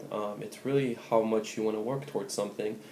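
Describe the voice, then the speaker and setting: A man's fairly low voice, fairly quick, with monotone, flat intonation. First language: Spanish. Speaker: pre-med student vlogger. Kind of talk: advice vlog. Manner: casual, many fillers.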